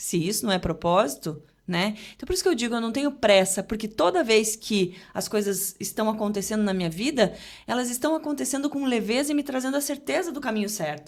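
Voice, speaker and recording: A woman's fairly high pitch with very wide pitch swings at a fairly quick pace. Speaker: journalist and TV presenter. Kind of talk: casual podcast interview. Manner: fast; articulate.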